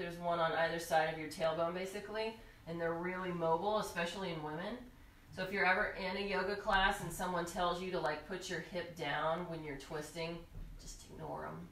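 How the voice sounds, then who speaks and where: A woman's fairly low voice, fairly quick and fairly even in intonation, with audible room echo. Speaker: yoga instructor. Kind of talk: tutorial. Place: home room.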